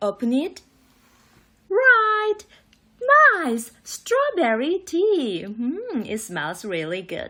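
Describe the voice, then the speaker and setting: Putting on a character voice with a high pitch, a woman speaks at a very slow pace, leaving long, frequent pauses. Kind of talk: children's read-aloud. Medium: read story. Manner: theatrical, gasping reveals.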